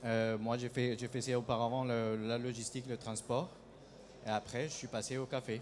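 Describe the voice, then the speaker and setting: With a Colombian accent, a man speaks at a moderate pace in a medium pitch with flat, monotone intonation. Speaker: coffee company founder. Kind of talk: conference talk. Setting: stage with audience at trade show. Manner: hesitant, many filler sounds.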